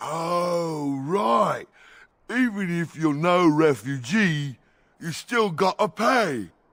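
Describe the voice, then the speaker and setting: A man does a put-on character voice, high-pitched with lively intonation, at a very slow pace. The recording is very clean, with a silent background. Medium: video game.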